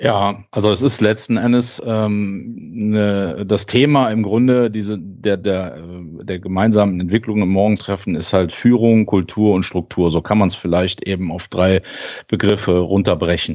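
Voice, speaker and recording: A man speaks at a fairly slow pace. His voice is fairly low, with ordinary pitch variation. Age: 40s. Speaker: lean and continuous improvement lead at a timber house maker. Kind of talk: interview conversation. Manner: hesitant, many filler sounds.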